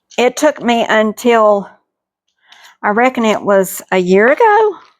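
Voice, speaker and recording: A woman with a Southern US accent speaks fairly slowly at a fairly high pitch, with ordinary pitch variation and very even loudness. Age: 60s. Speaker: homesteading cooking vlogger. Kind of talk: cooking tutorial chat. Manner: casual, folksy.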